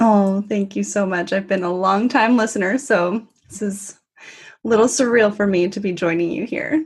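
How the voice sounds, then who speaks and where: A somewhat breathy woman's voice in a Californian accent, medium in pitch, with ordinary pitch variation at a moderate pace. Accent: Californian American. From US, Northern California. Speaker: travel community founder. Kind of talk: podcast interview.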